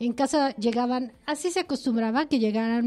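A woman speaks in a high voice. Her tone is dark and mellow. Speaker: radio host. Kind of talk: casual chat. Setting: studio.

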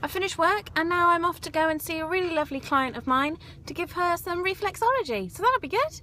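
A woman speaks in a raised, projected voice at a fairly quick pace. Her pitch swings very widely. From England. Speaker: vlogger and reflexologist. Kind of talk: casual vlog. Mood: cheerful, upbeat.

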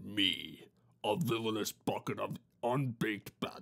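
A put-on character voice at a fairly slow pace. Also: man. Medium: read story. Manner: smug, chatty, theatrical.

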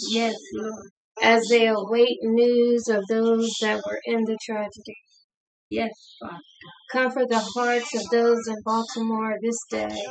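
Over music in the background, the voice moves at a fairly slow pace with monotone, flat intonation. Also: woman. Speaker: prayer leader and online ministry preacher. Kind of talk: fervent intercessory prayer with scripture reading. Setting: online video or audio ministry session. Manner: fervent, pleading, repeating 'Lord God' and 'Hallelujah' with rising devotion; earnest, halting at times, improvised and prayerful. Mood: solemn, earnest. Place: home room. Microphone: camera far.

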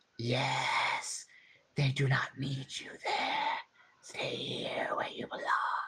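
A growling, whispered put-on character voice at a very slow pace. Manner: creepy.

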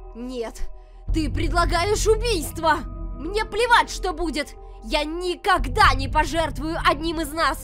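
Putting on a character voice, a woman speaks in an extremely high pitch with a bright, sharp tone and lively intonation at a fairly slow pace over faint background music.

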